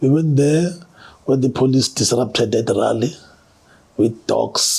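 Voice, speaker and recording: A man's somewhat breathy voice at a moderate pace, with fairly even intonation. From South Africa, Durban (Chesterville). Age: 60s. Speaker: activist and former political prisoner. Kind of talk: interview testimony.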